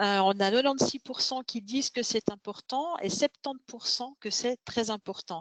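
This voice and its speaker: In a Swiss accent, a woman speaks at a high pitch and a fairly slow pace with ordinary pitch variation and hardly any pauses. The sound is dry and close, with no echo. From Switzerland. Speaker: tech company founder. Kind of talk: webinar presentation.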